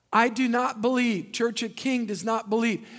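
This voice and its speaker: A man's high pitch and animated tone at a moderate pace. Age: 50s. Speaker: pastor. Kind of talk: sermon. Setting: church.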